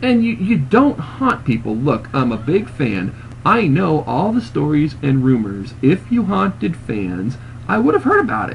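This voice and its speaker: A man uses a put-on character voice at medium pitch and a moderate pace. Clear background noise is present. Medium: read story. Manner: disbelieving, blunt.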